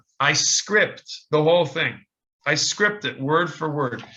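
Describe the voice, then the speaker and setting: With an ordinary speaking voice and lively intonation, a man talks at a moderate pace and a fairly high pitch. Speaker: lecturer. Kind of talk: lecture Q&A. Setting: video call.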